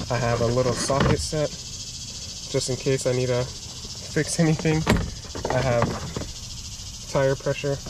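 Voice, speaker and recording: Over loud background noise, a man's voice comes through dry and echo-free. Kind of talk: casual vlog chat. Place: car. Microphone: phone near.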